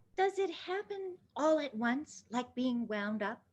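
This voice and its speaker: A woman performs a put-on character voice at a high pitch. She speaks at a fairly slow pace. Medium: read story. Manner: timid, wondering.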